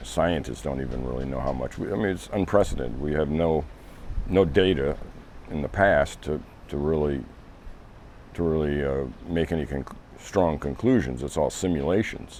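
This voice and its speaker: With noticeable background noise, a man talks at a moderate pace in a very deep, low voice, showing ordinary pitch variation and long, frequent pauses. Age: 60s. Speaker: interviewee. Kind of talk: interview. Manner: halting, many restarts.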